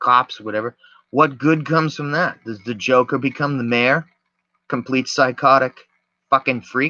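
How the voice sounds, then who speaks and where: A loud man's voice, bright and sharp in tone, at a moderate pace with ordinary pitch variation, in a dry, close sound with no echo. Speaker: video podcaster. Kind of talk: casual monologue.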